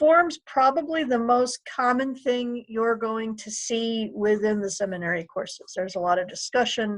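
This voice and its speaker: Here is a woman with a plain, everyday voice and a fairly high pitch. She keeps a moderate pace and ordinary pitch variation. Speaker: librarian giving a tutorial. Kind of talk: tutorial.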